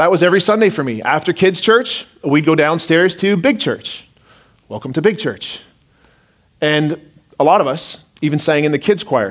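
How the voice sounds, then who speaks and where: Here a man uses a normal speaking voice at a fairly high pitch. He keeps a moderate pace with lively intonation. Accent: Canadian. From southern Ontario, Canada. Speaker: pastor. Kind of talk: sermon. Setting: church.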